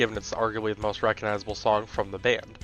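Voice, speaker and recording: A man is talking. Music plays in the background. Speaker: music reviewer. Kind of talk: album review narration.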